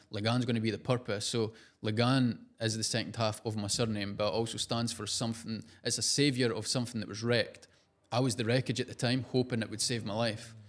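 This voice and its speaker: A man talks at a fairly quick pace in a strong Scottish accent. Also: medium pitch for a man. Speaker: entrepreneur and social media personality. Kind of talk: podcast interview. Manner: casual, animated.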